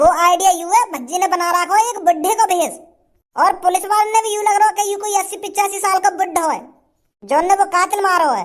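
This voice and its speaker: A cartoonish character voice from a woman, extremely high in pitch and very fast, with fairly even intonation. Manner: rambling, stammering, rustic.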